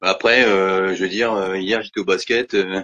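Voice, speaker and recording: Fairly slow and flat in a monotone, the man's voice is fairly low. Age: 50s. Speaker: Parkinson's patient sharing his story. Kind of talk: testimony. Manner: hesitant, many fillers and repetitions.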